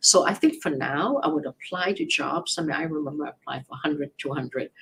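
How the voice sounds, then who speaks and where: This woman has a very deep, low pitch and sounds somewhat breathy. She talks at a fairly quick pace. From Hong Kong. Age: 70s. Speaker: immigration attorney. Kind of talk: live Q&A advice show.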